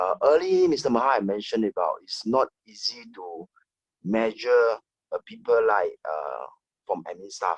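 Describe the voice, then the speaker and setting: Recorded dry and close with no echo, a man talks at a moderate pace. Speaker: HR manager. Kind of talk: online panel discussion. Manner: soft-spoken.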